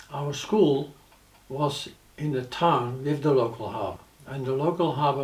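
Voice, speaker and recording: With audible room echo, a man speaks at a fairly slow pace. His voice is somewhat breathy and fairly high in pitch. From Netherlands. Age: 80s+. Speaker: war witness. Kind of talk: personal testimony.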